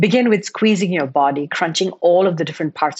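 In a normal speaking voice, a woman talks with a medium pitch. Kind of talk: guided meditation. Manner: slow, calm, soothing, with gentle pauses.

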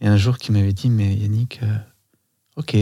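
The tone is dark and mellow and somewhat breathy, heard in a very clean recording with a silent background. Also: man. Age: 40s. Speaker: dancer and body-psychotherapist. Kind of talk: casual chat. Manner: halting.

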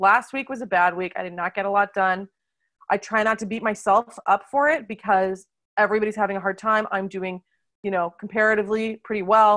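With an American accent, a woman talks fairly quickly in a normal speaking voice at a medium pitch, with fairly even intonation. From United States. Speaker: wine teacher. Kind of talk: casual interview chat.

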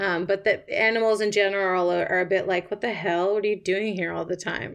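With a Canadian accent, a woman talks at a fairly quick pace in an ordinary speaking voice, her medium pitch carried by fairly even intonation. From Canada, Toronto. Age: 30s. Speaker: writer. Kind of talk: interview. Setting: remote call.

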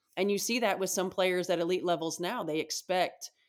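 A woman speaks with a Midwestern American accent and fairly even intonation on a very clean recording with a silent background. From Indiana, US Midwest. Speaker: basketball head coach. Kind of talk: interview.

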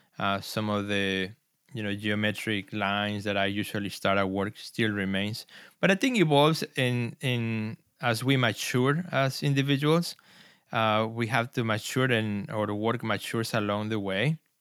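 A man with a Spanish accent speaks at a moderate pace and medium pitch on a very clean recording with a silent background. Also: ordinary pitch variation. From Mexico City, Mexico. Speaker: artist and gallery director. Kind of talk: interview.

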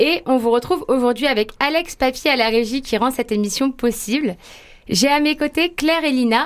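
This woman's voice sits high in pitch and keeps a very even loudness. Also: ordinary pitch variation, moderate pace. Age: young. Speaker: radio host. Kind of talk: radio interview.

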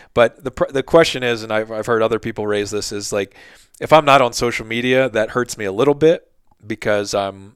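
Recorded dry and close with no echo, a man with an American accent has a plain, everyday voice, speaking at a fairly quick pace with a fairly low pitch and fairly even intonation. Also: very clean recording, silent background. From Philadelphia / South Jersey. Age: 30s. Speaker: podcast host and outdoor gear writer. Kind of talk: casual interview chat.

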